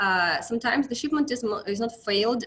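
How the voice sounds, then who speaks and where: Speaking at a moderate pace with a Russian accent, a woman has a fairly high pitch and ordinary pitch variation. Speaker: account manager at an inspection company. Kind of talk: webinar presentation. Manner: halting, many fillers.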